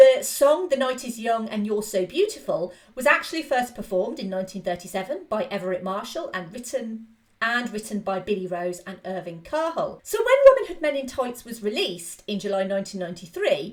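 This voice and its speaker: Enthusiastic and lively, a woman with an English accent speaks fairly high at a fairly quick pace with hardly any pauses. Her loudness swings widely. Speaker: film podcast host. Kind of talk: film review podcast narration. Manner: casual, enthusiastic.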